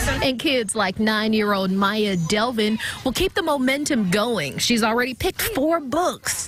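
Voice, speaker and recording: Music plays in the background while the speaker goes at a fairly slow pace with hardly any pauses. The intonation is lively. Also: woman, fairly high pitch for a woman. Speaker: TV news reporter. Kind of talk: TV news package narration.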